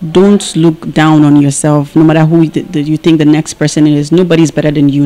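A woman with a very deep, low pitch keeps to a moderate pace. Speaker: actress. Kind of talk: interview answer. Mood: calm, warm, encouraging. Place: home room. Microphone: handheld.

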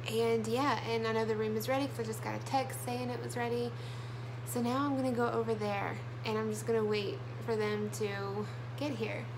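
With an American accent, a woman speaks fairly quickly in a very deep, low voice and monotone, flat intonation over noticeable background noise. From US South, southern Alabama. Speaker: vlogger. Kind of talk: casual vlog talk to camera. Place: home room. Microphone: phone near.

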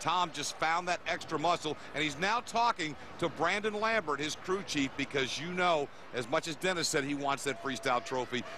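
Despite noticeable background noise, a man's fairly quick speech with lively intonation comes through dry with no echo. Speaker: TV play-by-play commentator. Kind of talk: live TV sports commentary, hyped play-by-play. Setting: broadcast booth in a packed stadium. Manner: energetic, hype-building showman; punchy promotional delivery, repeating network plugs.

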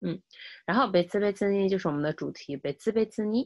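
A woman speaks against a quiet background. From China. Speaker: Japanese language teacher. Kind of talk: lecture. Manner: repetitive, with many filler sounds. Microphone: webcam.

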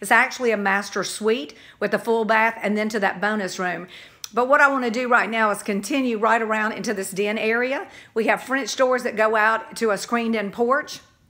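Fairly quick and fairly even in intonation, a woman's voice has a bright, sharp tone. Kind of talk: property tour narration. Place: home room. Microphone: phone near.

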